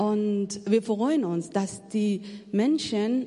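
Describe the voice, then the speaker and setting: Amid audible room echo, a woman speaks at a very slow pace in a somewhat breathy, medium-pitched voice with a dark, mellow tone. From Afghanistan. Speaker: missionary. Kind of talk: testimony. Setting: church. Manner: halting.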